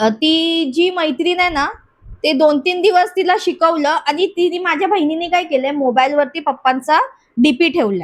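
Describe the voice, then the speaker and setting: A woman speaks in an extremely high pitch at very even loudness. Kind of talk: personal paranormal story told in an interview.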